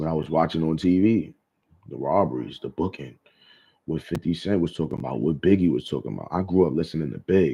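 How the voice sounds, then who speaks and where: A man's very deep, low voice with vocal fry and an American accent, at a very fast pace with ordinary pitch variation. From Brooklyn, New York. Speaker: vlogger. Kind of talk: casual monologue. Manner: animated.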